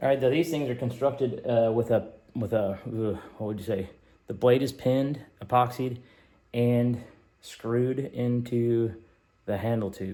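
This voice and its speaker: Mumbling from a man at medium pitch, dark and mellow in tone, at a fairly slow pace with long, frequent pauses. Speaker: knifemaker. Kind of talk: casual workshop vlog. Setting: workshop. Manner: casual, halting.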